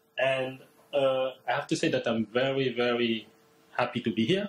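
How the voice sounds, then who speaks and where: This is a man speaking in a French accent. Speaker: postdoctoral researcher. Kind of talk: seminar presentation. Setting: seminar room with livestream.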